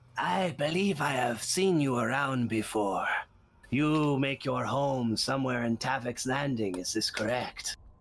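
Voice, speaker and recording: In a put-on character voice, a man speaks raspy at a medium pitch and a moderate pace. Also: ordinary pitch variation. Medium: actual play. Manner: measured, probing.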